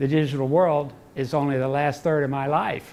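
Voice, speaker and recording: There's a noticeable echo from the room. The man talks at an unhurried, middling pace. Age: 70s. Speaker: lecturer on military strategy. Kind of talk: lecture. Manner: conversational, halting with self-corrections.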